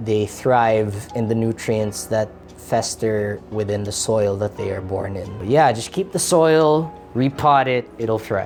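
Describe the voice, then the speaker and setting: Music plays behind a man talking at a fairly slow pace. His voice is medium in pitch with ordinary pitch variation. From Philippines. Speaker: YouTuber. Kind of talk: casual vlog. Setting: friend's house. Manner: loud; animated.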